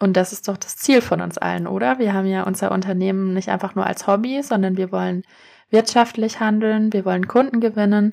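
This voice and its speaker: Her medium-pitched voice has a dark, mellow tone as this woman talks fairly quickly with ordinary pitch variation. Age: 30s. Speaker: SEO consultant and podcast host. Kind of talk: solo explainer podcast. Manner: casual, with frequent fillers.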